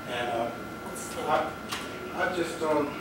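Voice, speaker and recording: Over noticeable background noise and with audible room echo, a man speaks at a fairly high pitch. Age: 70s. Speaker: retired navy veteran, public commenter. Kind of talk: public comment. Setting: public board meeting at microphone.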